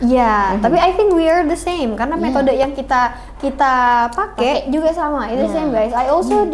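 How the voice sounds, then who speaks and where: Very fast and high-pitched, a woman talks over noticeable background noise. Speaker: podcast host.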